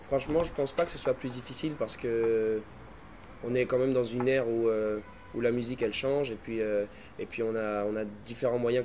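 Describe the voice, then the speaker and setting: Speaking fairly quickly, a man keeps his intonation fairly even at a medium pitch. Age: 20s. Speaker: singer. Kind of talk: interview. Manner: halting, many fillers.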